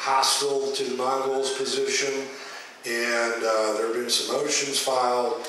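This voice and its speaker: Man speaking in a monotone, flat way at a fairly slow pace, with strong room echo and light background noise. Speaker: speaker. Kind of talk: speech to a meeting. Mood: earnest, urging. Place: hall.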